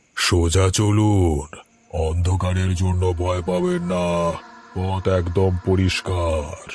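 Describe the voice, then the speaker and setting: A cartoonish character voice speaks at a very slow pace in a flat, monotone intonation. Music plays in the background. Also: man, very deep, low pitch for a man. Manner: eerie, sly.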